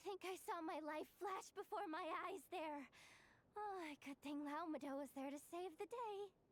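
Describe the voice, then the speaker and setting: Extremely high pitch in a put-on character voice, delivered at a moderate pace. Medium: video game. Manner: irritable, sarcastic.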